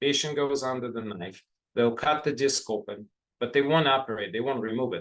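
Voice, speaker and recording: Here a man with an unremarkable speaking voice talks at a moderate pace. His pitch is medium, with ordinary variation. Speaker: physician and professor leading a health talk. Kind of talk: online health talk. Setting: online video event.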